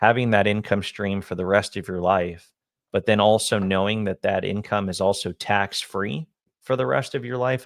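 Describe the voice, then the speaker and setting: An unremarkable speaking voice from a man, fairly low in pitch, with ordinary pitch variation and a moderate pace against a quiet background. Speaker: annuity and retirement income advisor. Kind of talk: casual co-host discussion on a finance video.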